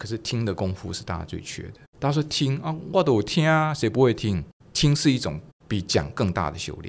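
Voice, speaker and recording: A man talks at a fairly quick pace with vocal fry. His pitch swings very widely and his loudness rises and falls sharply. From Taiwan. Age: 60s. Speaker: retired business executive; podcast guest. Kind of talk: interview. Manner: animated. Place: studio. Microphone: studio mic.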